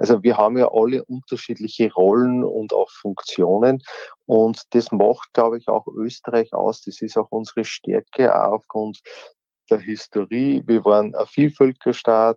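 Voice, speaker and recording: At a fairly slow pace, a man with an ordinary speaking voice and medium pitch keeps his intonation fairly even. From Austria (Upper Austria). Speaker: former politician. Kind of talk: interview.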